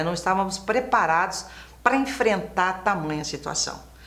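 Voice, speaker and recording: A woman speaks with very wide pitch swings. Room echo is audible. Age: 60s. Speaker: former TV presenter. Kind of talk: interview. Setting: studio.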